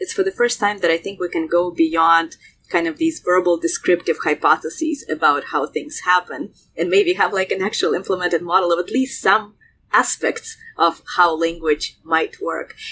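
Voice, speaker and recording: A woman talks at a moderate pace with a Russian accent. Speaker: researcher. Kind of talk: interview discussion.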